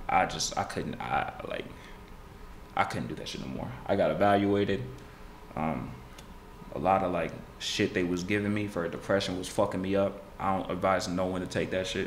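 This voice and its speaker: With an American accent, a man speaks at a moderate pace in a very deep, low voice with vocal fry and ordinary pitch variation, pausing long and often over light background noise. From Houston area, Texas; Texas. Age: 20s. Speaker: rapper. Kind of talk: casual interview chat. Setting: studio. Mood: relaxed, candid. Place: studio. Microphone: studio mic.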